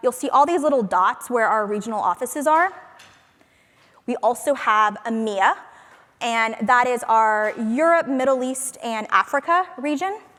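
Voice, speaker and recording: The voice is loud, with a bright, sharp tone. It moves along at a moderate pace. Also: woman, high pitch for a woman, lively intonation. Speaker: conference speaker, product marketing manager. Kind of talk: conference talk. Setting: stage with audience.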